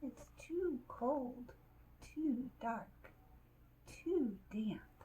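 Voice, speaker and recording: Squeaky, high-pitched put-on character voice from a woman, with clear background noise. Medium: read story.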